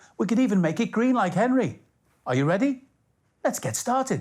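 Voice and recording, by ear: A man's slightly mellow voice at a moderate pace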